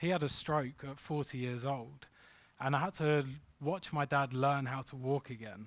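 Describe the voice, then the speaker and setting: This man has a London accent and fairly high pitch. He speaks at a moderate pace with ordinary pitch variation. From London, England. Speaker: crypto investment consultant. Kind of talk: workshop presentation. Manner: animated.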